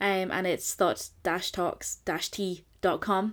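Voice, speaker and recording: On a very clean recording with a silent background, a woman at a medium pitch speaks at a fairly slow pace. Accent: Scottish. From Scotland. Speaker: podcast co-host. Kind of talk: casual chat. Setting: home attic studio.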